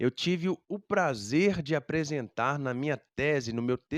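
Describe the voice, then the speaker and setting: With a normal speaking voice, a man talks at a fairly high pitch and with lively intonation, the sound dry and close with no echo against a quiet background. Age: 30s. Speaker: music teacher. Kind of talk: educational talk.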